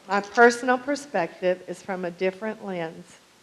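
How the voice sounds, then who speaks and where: At a moderate pace, the speaker uses ordinary pitch variation against noticeable background noise. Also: woman. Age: 60s. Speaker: public commenter at city council. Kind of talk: prepared public comment. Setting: city council meeting.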